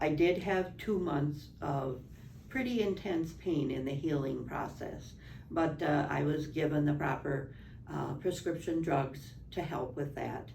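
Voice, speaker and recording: In a room with audible echo, a woman speaks fairly slowly in a very deep, low pitch. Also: ordinary pitch variation. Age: 70s. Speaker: spine surgery patient. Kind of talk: testimony.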